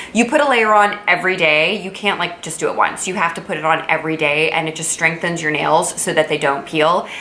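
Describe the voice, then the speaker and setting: A woman with a fairly low pitch talks at a fairly quick pace with hardly any pauses and ordinary pitch variation. There is audible room echo and noticeable background noise. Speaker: beauty vlogger and physician. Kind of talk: casual product review vlog. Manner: fast; animated.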